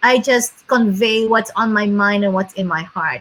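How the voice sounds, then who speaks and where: A woman's voice over noticeable background noise. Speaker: real estate agent. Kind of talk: casual chat.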